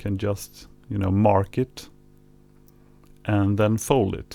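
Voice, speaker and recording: Over music in the background, a man with a non-native accent speaks at a very slow pace with a fairly low pitch and monotone, flat intonation. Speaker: vinyl record collector. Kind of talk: tutorial narration. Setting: home recording with mixer hum. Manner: hesitant, casual.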